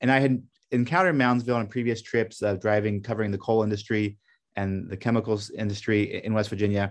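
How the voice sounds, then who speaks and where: This man talks at a very fast pace with a fairly low pitch. His intonation stays fairly even against a quiet background. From Belgium (Brussels), American parents. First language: French. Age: middle-aged. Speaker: documentary filmmaker, former journalist. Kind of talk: interview.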